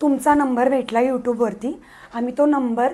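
A woman speaks with fairly even intonation. Light background noise can be heard. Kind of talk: interview answer. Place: office.

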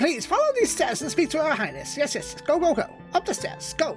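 Against clear background music, a man in a put-on character voice speaks at an extremely high pitch and a moderate pace.

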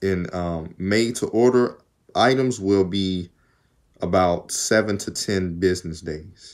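Against a quiet background, a man speaks in a very deep, low pitch with ordinary pitch variation. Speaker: YouTuber. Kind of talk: casual vlog. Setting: home video recording. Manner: casual, rambling. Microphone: phone near.

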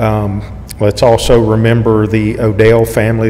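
Over light background noise, a man speaks at a moderate pace with a fairly low pitch and a monotone, flat intonation. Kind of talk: church announcements. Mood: calm, caring. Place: church. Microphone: podium.

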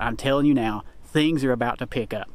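The man talks at a moderate pace, and the sound is dry with no echo. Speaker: hunter vlogger. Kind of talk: casual vlog chat. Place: forest. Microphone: phone near.

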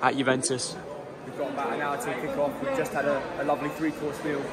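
A man rushes along at a very fast pace while loud background noise fills the recording. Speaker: travel vlogger. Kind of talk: casual vlog chat. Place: stadium. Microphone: phone near.

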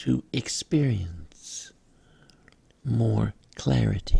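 This man's voice is very deep and low in pitch, somewhat breathy, with a calm, soothing tone. He speaks at a very slow pace. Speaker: spiritual guide / meditation leader. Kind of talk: guided meditation affirmations. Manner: slow, calm, soothing.

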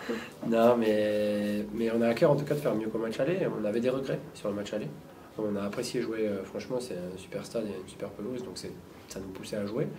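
Amid noticeable background noise, a man with a fairly low voice talks at a fairly quick pace, his pitch varying in an ordinary way. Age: 30s. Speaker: rugby player. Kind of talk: press conference. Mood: relaxed, smiling. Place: meeting room.

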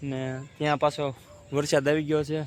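Flat, monotone intonation in a fairly high male voice. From Gujarat, Saurashtra (Bhavnagar district). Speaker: farmer and village vlogger. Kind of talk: casual vlog talk to camera. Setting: outdoors on a farm, then at home.

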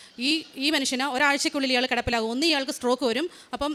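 Noticeable background noise runs under this recording. A woman speaks in a high voice with fairly even intonation. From Kerala, India (Haripad, Alappuzha). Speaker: nurse. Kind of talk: testimony. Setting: church.

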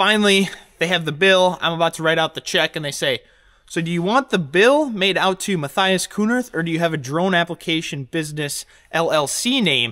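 The tone is bright and sharp, delivered at a moderate pace. The background is quiet. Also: man. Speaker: farmer vlogger. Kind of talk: casual vlog chat. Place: workshop. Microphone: phone near.

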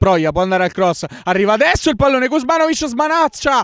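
Excited in tone, a man with an extremely high pitch talks at a fairly quick pace with very wide pitch swings. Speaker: football commentator. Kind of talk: live football commentary, play-by-play radio style. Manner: fast, breathless, rapid-fire delivery; excited, rising intensity at chances and goals.

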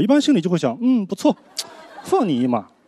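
A man's animated voice at a very fast pace, with very wide pitch swings. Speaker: stand-up comedian. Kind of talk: stand-up comedy set. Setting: stage with audience. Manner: animated, conversational; self-deprecating, rapid-fire punchlines. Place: stage. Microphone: handheld.

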